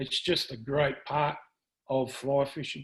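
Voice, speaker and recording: In an Australian accent, a man delivers his words at a moderate pace. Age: 60s. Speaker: fly fishing presenter. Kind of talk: presentation to club. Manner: halting, many fillers.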